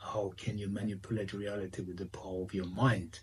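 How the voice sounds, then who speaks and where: A man talks at a moderate pace with a fairly low pitch. The voice sounds somewhat breathy. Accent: non-native. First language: not English. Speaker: spiritual medium and author. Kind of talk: interview. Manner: halting.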